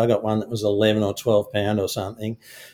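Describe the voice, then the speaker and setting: With an Australian accent, a man talks at a fairly low pitch. The recording is very clean, with a silent background. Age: 60s. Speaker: fishing guide and filmmaker. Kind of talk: casual interview.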